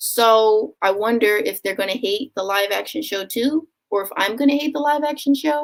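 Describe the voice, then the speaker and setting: With a Philadelphia accent, a woman speaks at a moderate pace in a fairly high pitch, lively intonation and hardly any pauses. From US, Philadelphia. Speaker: booktuber. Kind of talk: live stream Q&A. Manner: casual, filler-heavy.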